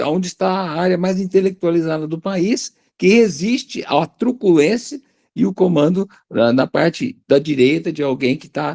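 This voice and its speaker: With lively intonation and a dark, mellow tone, a man speaks at a high pitch and moderate pace in a dry, close sound with no echo. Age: 60s. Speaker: retired biology teacher. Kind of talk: panel discussion. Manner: animated.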